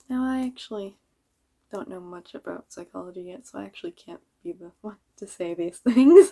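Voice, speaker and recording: Mumbling at a fairly quick pace, a woman with a dark, mellow tone makes very wide pitch swings. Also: medium pitch for a woman, big swings in loudness. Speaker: vlogger. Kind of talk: casual monologue.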